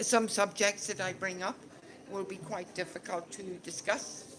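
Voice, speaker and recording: At a fairly slow pace, a woman speaks at a medium pitch with a Northern Irish accent. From Northern Ireland. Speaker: conversation group facilitator. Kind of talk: discussion leading for English learners. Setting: casual gathering with audience. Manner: slow, clear.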